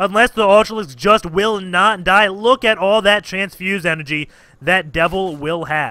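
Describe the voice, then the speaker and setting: The speaker is a man with a high-pitched voice. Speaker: game caster. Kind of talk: esports game commentary.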